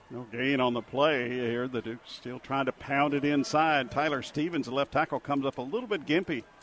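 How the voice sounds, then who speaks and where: At a moderate pace with hardly any pauses, a man uses an ordinary speaking voice, pitched fairly high with ordinary variation. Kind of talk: live color commentary. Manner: conversational, analytical, explanatory.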